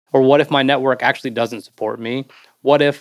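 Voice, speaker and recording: A man speaks at a fairly quick pace in an ordinary speaking voice. His pitch is medium and his intonation fairly even. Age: 40s. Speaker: Marine veteran and branding strategist. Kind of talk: interview conversation.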